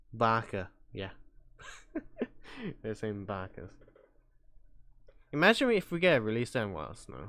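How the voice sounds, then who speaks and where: Speech moves at a moderate pace. Long pauses come often. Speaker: VTuber streamer. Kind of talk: live stream reaction chat. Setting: live stream. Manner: loud.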